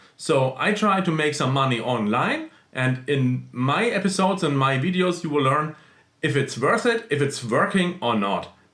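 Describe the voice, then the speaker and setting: At a moderate pace, a man with a non-native accent speaks at a fairly high pitch with lively intonation and very even loudness. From small country in central Europe. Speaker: YouTuber, side-hustle vlogger. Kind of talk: casual vlog talk. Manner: halting, with fillers.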